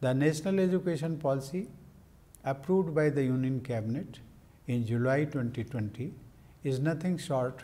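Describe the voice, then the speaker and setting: The voice is somewhat breathy and moves at a moderate pace, with ordinary pitch variation and long, frequent pauses. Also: man. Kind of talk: formal speech. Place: office. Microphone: lapel.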